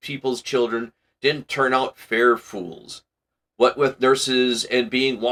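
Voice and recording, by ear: Someone reads aloud, sounding natural. Little can be heard behind the voice.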